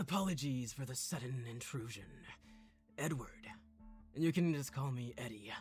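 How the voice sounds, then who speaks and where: Clear music plays behind a put-on character voice, rumbling and low-to-middle in pitch, moving at a moderate pace with long, frequent pauses. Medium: game stream. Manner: calm, friendly, polite.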